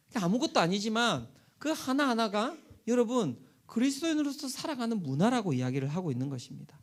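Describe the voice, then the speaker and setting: At a fairly quick pace, a man speaks in a high voice that swings very widely in pitch. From South Korea, Busan. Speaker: pastor. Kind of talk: sermon.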